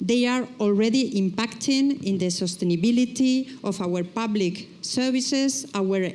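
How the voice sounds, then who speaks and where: At a fairly slow pace, the somewhat breathy voice rises and falls in an ordinary way. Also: woman. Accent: Spanish. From Spain. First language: Spanish. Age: middle-aged. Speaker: nurses' trade union leader. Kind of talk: reading aloud a prepared speech.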